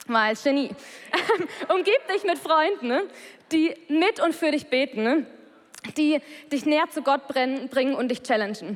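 With a high pitch and lively intonation, a woman speaks at a very slow pace, leaving long, frequent pauses. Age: 20s. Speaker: church member giving a talk. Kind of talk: testimony.

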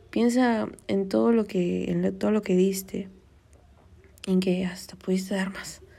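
In a room with audible echo, a woman talks at a fairly slow pace and medium pitch, with ordinary pitch variation and long, frequent pauses. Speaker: podcast host. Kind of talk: casual advice monologue. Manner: conversational, many fillers.

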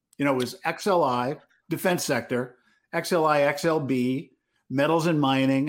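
An unremarkable speaking voice from a man, fairly high in pitch with ordinary pitch variation, in a very clean recording with a silent background. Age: 50s. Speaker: retail trader and podcast co-host. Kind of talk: casual market analysis chat.

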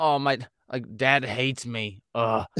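A man puts on a whiny character voice at a medium pitch. His pace is fairly slow. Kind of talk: casual modern slang. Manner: whining.

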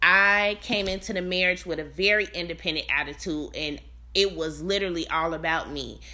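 A woman's animated voice, bright and sharp in tone, with vocal fry. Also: medium pitch for a woman, fairly quick pace. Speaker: family life coach and podcast host. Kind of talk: casual solo podcast monologue. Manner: animated, frequent laughter.

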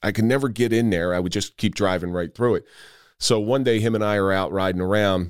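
A man talks at a very fast pace, fairly low in pitch. The recording is very clean, with a silent background. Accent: American. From New Jersey. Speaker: retired police officer and podcast host. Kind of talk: casual interview chat. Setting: in-person studio.

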